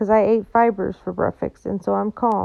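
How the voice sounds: A natural reading voice is heard. The clip holds just that voice.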